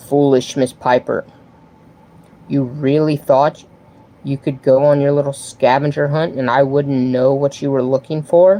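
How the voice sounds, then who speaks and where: A man uses a booming, put-on character voice. It sits at a fairly high pitch and moves at a moderate pace. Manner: mocking, menacing.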